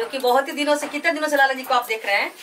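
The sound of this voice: Talking at a very fast pace, a woman with a high pitch and a fairly bright tone shows ordinary pitch variation over faint background noise.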